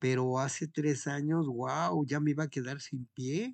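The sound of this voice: At a fairly slow pace, a man speaks at a fairly high pitch with vocal fry and fairly even intonation.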